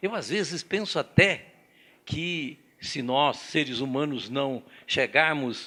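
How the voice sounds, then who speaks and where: In a bright, sharp tone, a man with a fairly high pitch speaks at a fairly slow pace with lively intonation. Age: 80s+. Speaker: organization president, seminar speaker. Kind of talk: seminar talk.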